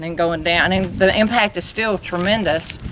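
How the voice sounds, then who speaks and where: With an Alabama accent, a woman speaks at medium pitch. Her intonation is fairly even, and background noise is noticeable. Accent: Southern US (Alabama). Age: 60s. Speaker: travel vlogger. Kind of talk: casual chat. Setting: outdoors.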